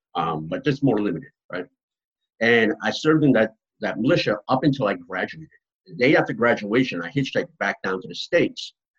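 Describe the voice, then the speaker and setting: Speaking fairly quickly with an American accent, a man at medium pitch shows vocal fry, very wide pitch swings, and big shifts in loudness. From Massachusetts, near Boston. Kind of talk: interview.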